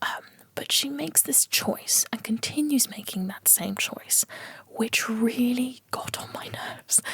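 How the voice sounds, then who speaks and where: A whispered voice sits within noticeable background noise. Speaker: book reviewer. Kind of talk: ASMR book review. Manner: whispered, soft-spoken.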